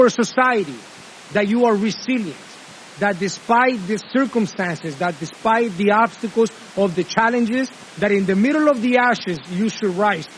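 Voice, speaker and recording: An animated man with a Spanish accent, high pitch, ordinary pitch variation and a moderate pace, over noticeable background noise. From Honduras. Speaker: commencement speaker. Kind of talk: commencement speech.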